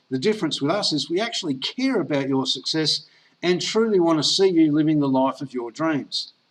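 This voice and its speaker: A man with an Australian accent and a fairly high voice speaks at a moderate pace. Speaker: network marketer. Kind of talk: sales pitch. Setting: online presentation call.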